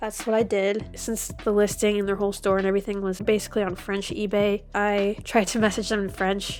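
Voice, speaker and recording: Music plays in the background as a woman speaks in a monotone, flat way. She goes at a fairly quick pace with hardly any pauses. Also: medium pitch for a woman. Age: adult. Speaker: toy collector and video creator. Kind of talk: unboxing vlog. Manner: casual.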